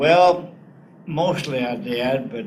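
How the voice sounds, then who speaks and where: Audible room echo surrounds a man speaking with a Southern US accent and ordinary pitch variation. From US South, northeast Arkansas. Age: 80s+. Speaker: war veteran. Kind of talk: interview.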